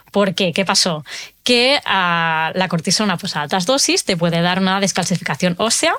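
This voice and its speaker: Bright, sharp tone from a woman at medium pitch, moderate pace and ordinary pitch variation. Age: 30s. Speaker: nutrition coach for people with autoimmune disease. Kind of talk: interview testimony.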